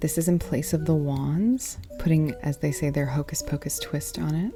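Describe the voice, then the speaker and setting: Music plays behind a soft-spoken woman as she talks. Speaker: tarot reader, deck reviewer. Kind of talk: casual deck flip-through.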